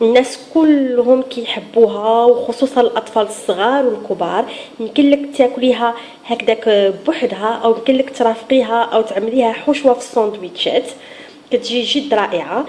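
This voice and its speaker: Noticeable background noise sits behind a woman's high-pitched voice. She talks at a moderate pace with fairly even intonation. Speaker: cooking channel host. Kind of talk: cooking tutorial. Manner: halting, with frequent restarts and fillers.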